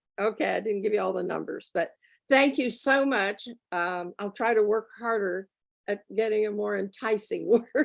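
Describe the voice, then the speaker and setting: A woman's medium-pitched voice with vocal fry, ordinary pitch variation, a moderate pace, long and frequent pauses, and a quiet background. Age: 80s+. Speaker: toastmasters grammarian. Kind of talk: meeting report.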